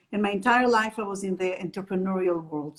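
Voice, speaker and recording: A woman speaks with an Israeli accent. Her voice is somewhat breathy, with ordinary pitch variation. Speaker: happiness trainer and entrepreneur. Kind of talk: interview.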